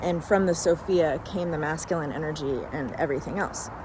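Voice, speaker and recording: Noticeable background noise sits behind a woman speaking at a moderate pace. Her pitch is fairly low, with ordinary pitch variation. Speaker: spiritual channeler. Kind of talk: casual spiritual monologue. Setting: outdoors in a park.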